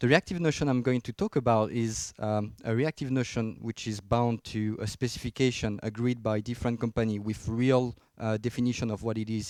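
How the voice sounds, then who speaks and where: A man with a French accent speaks at medium pitch and a moderate pace with fairly even intonation, in a dry, close sound with no echo, on a very clean recording with a silent background. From France. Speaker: software engineer, conference speaker. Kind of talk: technical conference talk. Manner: hesitant, many fillers.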